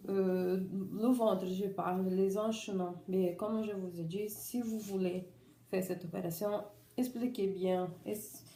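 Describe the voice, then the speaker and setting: A woman's dark, mellow, medium-pitched voice with a non-native accent, very slow pace and fairly even intonation, in audible room echo. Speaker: vlogger sharing surgery experience. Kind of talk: personal testimony vlog. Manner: halting, many restarts.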